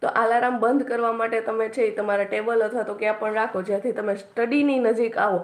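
A woman speaks with a fairly high pitch and a flat, monotone delivery. Noticeable background noise runs under her voice. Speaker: YouTuber and exam aspirant. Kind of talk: study tips livestream. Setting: live stream. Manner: casual, with frequent filler pauses.

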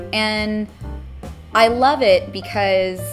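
Clear music can be heard behind a woman as she talks. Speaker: voice actress. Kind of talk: interview answer. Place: meeting room.

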